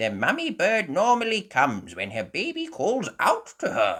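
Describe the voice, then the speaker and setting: This man is doing a put-on character voice. It sits at a high pitch. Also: moderate pace. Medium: read story. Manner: knowledgeable, patient.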